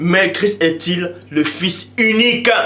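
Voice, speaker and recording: The loud voice comes with noticeable background noise and audible room echo. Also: man. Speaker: religious video preacher. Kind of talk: preaching monologue.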